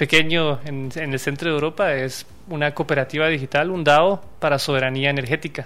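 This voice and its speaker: Bright, sharp tone from a man, fairly high-pitched, with fairly even intonation at a moderate pace. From Guatemala, Quetzaltenango. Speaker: blockchain entrepreneur. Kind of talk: interview.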